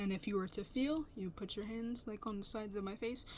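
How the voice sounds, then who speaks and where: Normal rise and fall in pitch, plus a slightly airy, breathy quality. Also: woman. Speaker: vlogger. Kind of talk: personal vlog testimony. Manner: breathing weird and talking weird; audible mouth sounds.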